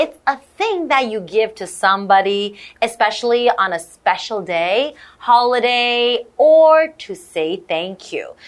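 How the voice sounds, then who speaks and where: This woman talks at a very slow pace. Her fairly high pitch swings very widely. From Canada, Ontario. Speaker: English teacher, co-host. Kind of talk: English lesson chat.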